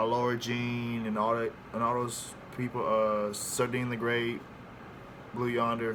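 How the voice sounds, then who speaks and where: With audible room echo, a man speaks at a fairly slow pace in a monotone, flat intonation. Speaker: air force recruit vlogger. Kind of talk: casual vlog. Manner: casual, hesitant with fillers.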